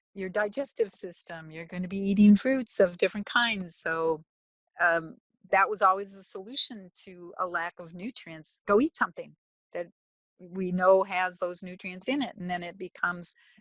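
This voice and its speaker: In a quiet background with a dry, close sound and no echo, a woman with an American accent and an unremarkable speaking voice talks at a moderate pace, at a medium pitch, with ordinary pitch variation and big swings in loudness. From US Midwest, Minnesota (Twin Cities). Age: 60s. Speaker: soil scientist. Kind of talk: interview.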